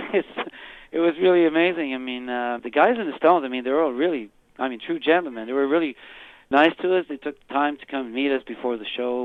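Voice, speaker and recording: With a Quebec accent, a man speaks at a fairly high pitch. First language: French. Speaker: rock singer. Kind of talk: interview. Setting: phone call. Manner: casual, lots of fillers.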